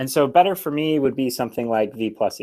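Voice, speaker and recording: The recording is very clean, with a silent background. A man speaks in a plain, everyday voice at a moderate pace, with medium pitch and ordinary pitch variation. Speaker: programming tutorial streamer. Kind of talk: live-streamed lecture. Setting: live stream. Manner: frequent fillers (um, uh).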